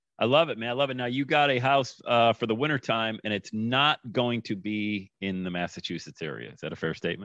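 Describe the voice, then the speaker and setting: A man's normal speaking voice at medium pitch, fairly quick with hardly any pauses, ordinary pitch variation and big swings in loudness, dry and close with no echo against a quiet background. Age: 50s. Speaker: podcast host. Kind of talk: casual interview chat.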